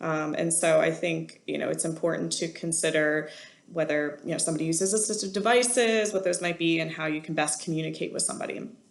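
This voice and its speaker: A woman talks at a very fast pace in a fairly low pitch with vocal fry. Her pitch variation is ordinary, and audible room echo surrounds her. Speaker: college instructor. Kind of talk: lecture.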